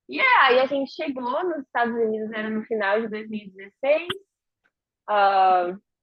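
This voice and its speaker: Her normal speaking voice fairly high in pitch, a woman talks at a moderate pace with lively intonation and big swings in loudness. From interior of São Paulo state, Brazil. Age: 20s. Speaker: interviewee, emigrant. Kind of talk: casual interview chat.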